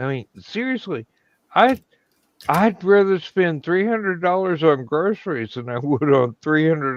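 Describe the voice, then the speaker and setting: Using a normal speaking voice, a man with an American accent talks with lively intonation. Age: 60s. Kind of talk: casual chat.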